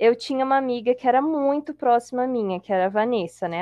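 Lively intonation and a fairly quick pace from a woman, a normal speaking voice. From Brazil, Espírito Santo (Colatina). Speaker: podcast guest. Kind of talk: casual chat.

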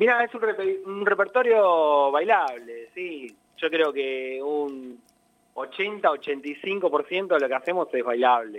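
Very slowly and with very wide pitch swings, a man speaks at a fairly high pitch. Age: 40s. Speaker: tango musician. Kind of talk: interview.

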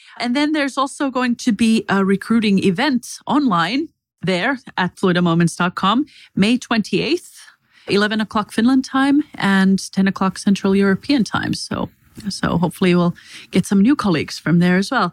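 A woman speaks in a medium pitch with lively intonation and a somewhat breathy quality. The sound is dry and close, with no echo. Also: moderate pace, very clean recording, silent background. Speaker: head of people and culture, podcast host. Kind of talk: casual chat.

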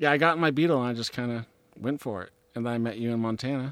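Speaking very fast in an American accent, a man keeps a medium pitch with ordinary pitch variation. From Olympia, Washington, US Pacific Northwest. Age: 30s. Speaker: professional disc golfer. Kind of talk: casual interview chat. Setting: in person, on mics at tournament.

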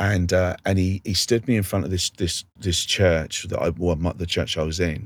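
A man's very deep, low voice at a fairly slow pace, on a very clean recording with a silent background. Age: 50s. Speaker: street evangelist. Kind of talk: interview.

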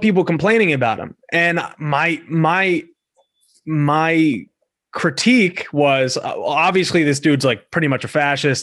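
A plain, everyday voice from a man with an American accent, fairly high in pitch with ordinary pitch variation, at a fairly slow pace. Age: 20s. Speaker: podcast host. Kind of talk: casual interview.

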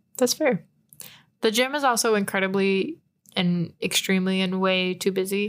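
A woman's unremarkable speaking voice with an American accent, moderate pace and very even loudness, in a very clean recording with a silent background. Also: medium pitch for a woman, ordinary pitch variation. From Texas, San Antonio. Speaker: student podcast co-host. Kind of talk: casual chat. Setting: student newspaper office.

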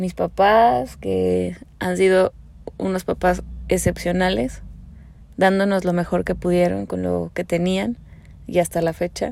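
A woman speaks at a fairly slow pace. Long, frequent pauses run through her speech. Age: 30s. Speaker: podcast host. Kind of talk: personal monologue.

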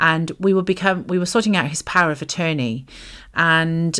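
A woman with a very deep, low voice speaks with ordinary pitch variation in a very clean recording against a silent background. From Wales. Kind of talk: casual chat about faith.

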